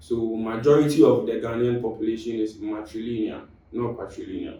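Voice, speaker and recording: Audible room echo surrounds a man speaking at medium pitch and a fairly quick pace. His intonation is monotone and flat. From Ghana, raised in Kumasi, Ashanti region. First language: Twi (Ashanti); Fanti by heritage. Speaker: podcast guest, university student. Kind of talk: casual podcast discussion. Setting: studio. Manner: halting, repeats words.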